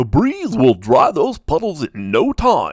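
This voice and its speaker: Using a put-on character voice, a man talks in a high pitch at a fairly slow pace. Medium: read story.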